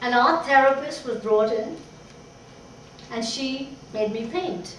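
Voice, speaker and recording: A woman's high-pitched, very slow speech with noticeable background noise and audible room echo. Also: ordinary pitch variation. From Pakistan. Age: 60s. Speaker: painter. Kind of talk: personal speech to an audience.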